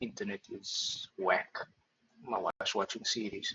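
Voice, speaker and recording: A man talks in a soft-spoken way. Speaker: trader. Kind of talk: screen-share tutorial. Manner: hesitant, many fillers.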